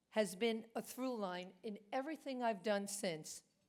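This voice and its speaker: A woman talks at a fairly slow pace in a Brooklyn accent. Her pitch varies in an ordinary way. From New York, Brooklyn. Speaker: award recipient, business executive. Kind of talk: award acceptance speech.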